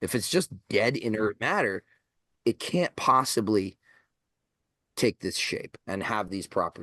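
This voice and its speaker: A man speaks at a moderate pace and a medium pitch with lively intonation and long, frequent pauses. His tone is bright and sharp, the sound dry and close with no echo, over a quiet background. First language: Greek. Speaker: esoteric author and occultist. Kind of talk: podcast interview. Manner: halting, many repetitions and restarts.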